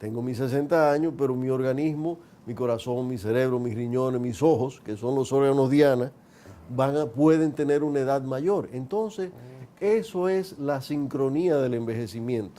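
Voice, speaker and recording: A plain, everyday voice at a moderate pace. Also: man. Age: 60s. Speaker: geriatrician. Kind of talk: TV interview. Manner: explanatory.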